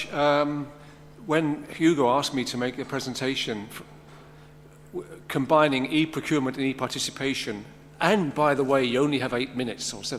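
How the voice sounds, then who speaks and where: A man with a London accent speaks at a fairly quick pace. His pitch is fairly high and his intonation fairly even. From London, England. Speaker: conference speaker. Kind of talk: conference presentation.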